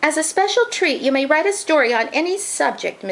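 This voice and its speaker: A woman's put-on character voice, extremely high-pitched with very wide pitch swings, fairly quick pace and very even loudness. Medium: read story. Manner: firm, proper.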